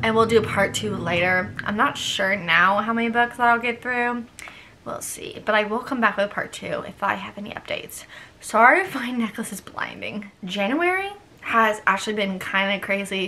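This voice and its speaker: A woman with a fairly high voice speaks at a moderate pace with ordinary pitch variation and big swings in loudness. Noticeable background noise is present. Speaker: book YouTuber, journalism student. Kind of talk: casual vlog, book wrap-up. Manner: nervous, halting at times.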